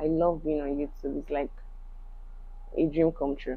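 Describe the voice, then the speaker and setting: A woman with a Yoruba accent speaks in a very deep, low voice. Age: 30s. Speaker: YouTuber, crochet and knitwear fashion designer. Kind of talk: vlog monologue. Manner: reflective, casual.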